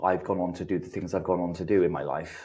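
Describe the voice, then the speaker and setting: With a British accent, a man talks in a very deep, low pitch with fairly even intonation. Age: 30s. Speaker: recovering addict sharing his story. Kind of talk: testimony.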